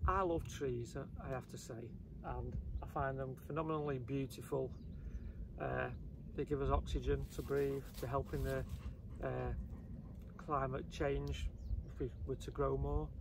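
A man speaking at a fairly slow pace, with long, frequent pauses, noticeable background noise, and a dry sound with no echo. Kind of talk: casual vlog chat. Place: open country.

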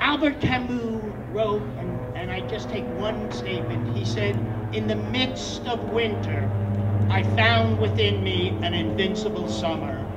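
Music plays in the background as a man talks at a fairly slow pace. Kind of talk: rally speech. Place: street. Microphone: handheld.

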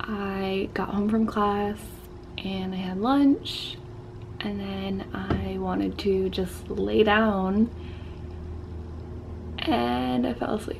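A woman at a very slow pace, long, frequent pauses, light background noise. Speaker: vlogger. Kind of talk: casual vlog chat. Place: home room. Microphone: webcam.

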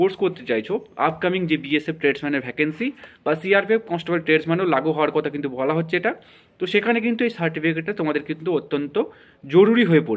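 A man's high voice with ordinary pitch variation. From West Bengal, Katwa area; West Bengal. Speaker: YouTube education channel host; education channel host. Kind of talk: YouTube intro and outro addressing viewers. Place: home room. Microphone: phone near.

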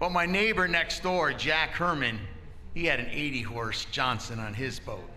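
Over light background noise, a man speaks at a fairly slow pace. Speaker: lay preacher. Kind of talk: sermon. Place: church. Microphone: handheld.

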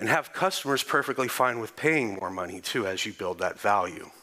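A man with a Texan accent talks at a fairly quick pace against a quiet background. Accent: Texan American English. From Texas. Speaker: conference speaker. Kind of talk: conference talk. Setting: stage with audience.

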